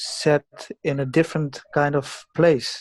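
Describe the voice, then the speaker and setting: In a flat, monotone intonation, a man talks with a fairly high pitch. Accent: non-native. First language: not English. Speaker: forum participant. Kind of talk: group discussion. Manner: halting.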